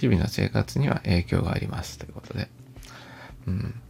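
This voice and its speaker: The voice moves at a moderate pace in a calm tone, with very wide pitch swings. Noticeable background noise sits behind it. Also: man. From Japan, Aichi (Toyota). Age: 40s. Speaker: podcaster. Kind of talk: casual monologue. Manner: calm, soft-spoken; hesitant, filler-heavy.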